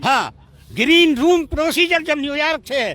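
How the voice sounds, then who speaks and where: Bright and sharp in tone, this man's voice comes through. He uses a raised, projected voice. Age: 70s. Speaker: farmers' union leader. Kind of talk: political interview.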